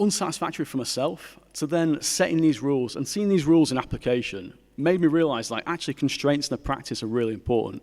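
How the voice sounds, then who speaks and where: A man with a Mancunian accent, fairly high-pitched and lively, talking very fast with hardly any pauses over a very clean, silent background. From Manchester, northern England. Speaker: graphic designer and artist. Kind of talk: conference talk.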